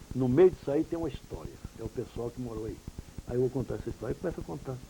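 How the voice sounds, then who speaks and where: With lively intonation and medium pitch, a man speaks at a very fast pace over noticeable background noise. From Pirangi, São Paulo state, Brazil. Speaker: journalist and radio broadcaster. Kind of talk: interview answer.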